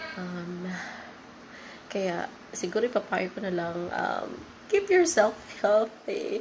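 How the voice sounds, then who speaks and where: Noticeable background noise runs under this clip. A woman talks at a very slow pace. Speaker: call center agent, vlogger. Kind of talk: casual vlog.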